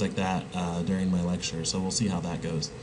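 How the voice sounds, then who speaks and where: A man speaks at a fairly quick pace with a US Midwestern accent. Noticeable background noise and audible room echo fill the recording. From Kansas, US Midwest. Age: 20s. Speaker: college instructor. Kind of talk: lecture. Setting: recording alone with a webcam. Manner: halting, many fillers.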